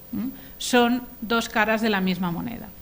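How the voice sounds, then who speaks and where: With a Spanish accent, a woman speaks at a fairly high pitch. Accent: Spanish (Spain). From Spain. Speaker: law professor. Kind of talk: conference lecture. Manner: formal, with frequent hesitations.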